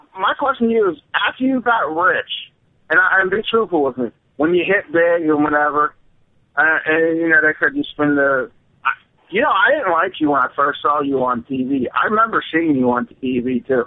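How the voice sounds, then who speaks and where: A man with a normal speaking voice talks at a moderate pace in a fairly high pitch, with lively intonation and very even loudness. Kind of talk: casual chat. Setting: phone call.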